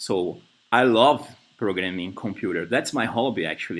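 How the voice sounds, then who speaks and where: A man speaks here. He has a Brazilian Portuguese accent. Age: 30s. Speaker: software developer. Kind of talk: job interview. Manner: halting.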